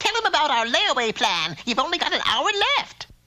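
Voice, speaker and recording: A cartoonish character voice, high-pitched with very wide pitch swings, delivered at a fairly quick pace. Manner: brassy, salesy, calls people honey and dearie.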